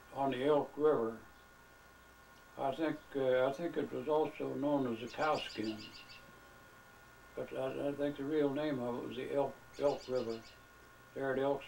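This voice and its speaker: A man with an American accent, fairly high in pitch, at a fairly slow pace with fairly even intonation, over noticeable background noise. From Southeast Kansas, USA. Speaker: elderly man reminiscing about his youth. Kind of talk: casual reminiscing storytelling, recorded conversation with a relative. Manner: relaxed, unhurried, conversational.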